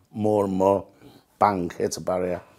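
In a northern English accent, a man speaks with a fairly low pitch, a dark, mellow tone and monotone, flat intonation. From northern England. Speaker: sepsis survivor and amputee. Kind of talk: interview testimony. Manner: halting.

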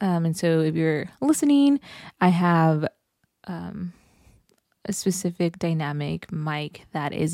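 With an American accent, a woman speaks in a fairly low, dark, mellow voice, recorded dry and close with no echo in a very clean recording with a silent background. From Los Angeles, California. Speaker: podcast host and counselor. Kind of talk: casual solo monologue. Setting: home podcast setup with mic. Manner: animated.

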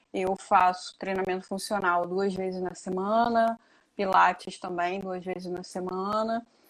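Fairly slow, medium-pitched speech from a woman. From Niterói, Rio de Janeiro, Brazil. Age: 30s. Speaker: amateur trail runner. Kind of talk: casual interview.

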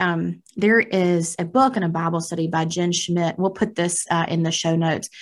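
Her American accent comes with a fairly low pitch and fairly even intonation as the woman speaks. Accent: country twang. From rural US. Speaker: podcast co-host. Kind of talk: casual chat. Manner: laughs often.

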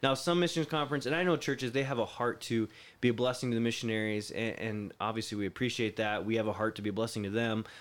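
With an American accent, a man talks at a very fast pace with hardly any pauses on a very clean recording with a silent background. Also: medium pitch for a man, ordinary pitch variation. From Florida. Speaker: pastor and missionary. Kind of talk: interview.

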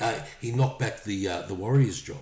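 In an Australian accent, a man speaks at a moderate pace with ordinary pitch variation, a somewhat breathy, dark, mellow tone, and a very clean recording with a silent background. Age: 50s. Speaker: rugby league podcast co-host. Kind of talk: casual chat.

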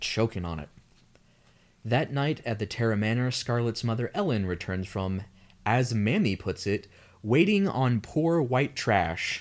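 A man with an American accent has an ordinary speaking voice at medium pitch, with lively intonation and a fairly slow pace. The recording is very clean, with a silent background. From US South. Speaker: podcast co-host. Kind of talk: casual chat with plot recap narration.

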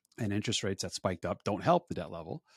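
On a very clean recording with a silent background, a man talks at a very fast pace. He has an American accent and a fairly low pitch. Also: dry, close sound with no echo. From New Jersey, Woodbridge. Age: 40s. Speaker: financial advisor. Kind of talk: interview.

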